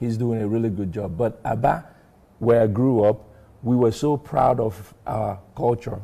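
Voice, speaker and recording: Medium-pitched, somewhat breathy male voice with a dark, mellow tone, ordinary pitch variation and a moderate pace. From Nigeria, Aba (Igbo), moved to US at 13. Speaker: author and pharmacist. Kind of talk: TV interview.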